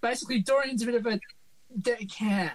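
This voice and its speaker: A put-on character voice, nasal and fairly high in pitch. It races along at a very fast pace. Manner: dropped t sounds.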